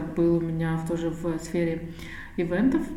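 Over noticeable background noise and audible room echo, a woman speaks with a fairly low pitch. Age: 30s. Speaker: charity project founder. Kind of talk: interview.

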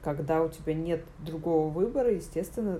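A woman's pitch is very deep and low. Her pace is moderate. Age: 30s. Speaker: journalist. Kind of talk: casual chat. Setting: home recording.

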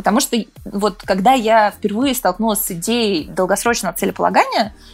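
A woman talks at a fairly quick pace in a fairly high pitch with ordinary pitch variation, a plain, everyday voice. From Moscow region, Russia. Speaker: entrepreneur and author. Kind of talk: casual interview.

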